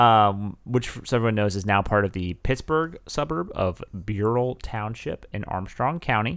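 A moderate pace and lively intonation in an ordinary speaking voice, captured on a very clean recording against a silent background. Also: man, fairly low pitch for a man. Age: 20s. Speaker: true crime podcast co-host. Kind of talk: reading aloud; casual chat.

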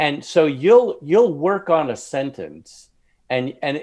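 A man with an unremarkable speaking voice talks at a fairly slow pace with a fairly high pitch and lively intonation. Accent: American. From Long Island, New York. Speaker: author. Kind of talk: casual interview. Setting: video call.

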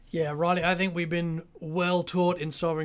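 A man with an Australian accent speaks at a fairly high pitch. His intonation is monotone and flat, at a moderate pace. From Sydney, Australia. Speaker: pastor and podcast co-host. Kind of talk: casual podcast discussion.

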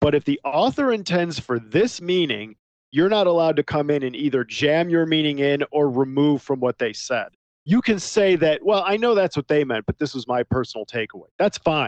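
A man speaks in a plain, everyday voice, fairly high in pitch, with lively intonation. His pace is moderate, and the sound is dry and close with no echo. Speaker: podcast host reviewing sci-fi films. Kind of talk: casual chat.

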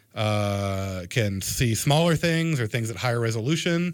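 In a very clean recording with a silent background, a man with a plain, everyday voice speaks at a medium pitch with an American accent and lively intonation. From Florida coast, US. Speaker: anatomy professor. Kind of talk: radio interview.

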